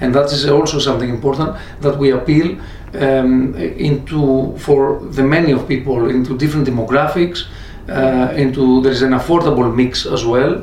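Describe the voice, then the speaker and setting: A man speaks at a fairly slow pace with fairly even intonation. There is audible room echo and noticeable background noise. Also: medium pitch for a man. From Greece. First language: Greek (speaking Russian). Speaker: shopping mall manager. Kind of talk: interview. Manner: halting.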